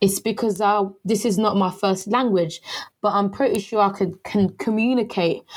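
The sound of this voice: At a moderate pace, a woman speaks at a medium pitch with ordinary pitch variation. Her tone is slightly mellow.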